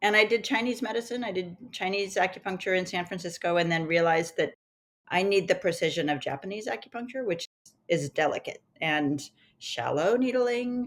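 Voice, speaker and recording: At a fairly quick pace, a woman with a medium pitch and a normal speaking voice talks with lively intonation. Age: 60s. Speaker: acupuncturist. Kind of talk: interview.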